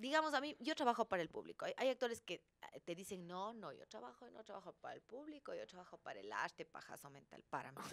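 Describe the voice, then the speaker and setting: A woman talks at a very fast pace with hardly any pauses. Her loudness swings widely. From Ecuador. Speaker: actress and comedian; actress, comedian. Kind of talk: interview; interview answer. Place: studio. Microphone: studio mic.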